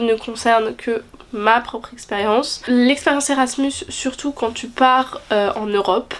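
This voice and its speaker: A woman speaks at a moderate pace with a high pitch. Her intonation is fairly even. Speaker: student vlogger. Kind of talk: casual vlog talk to camera.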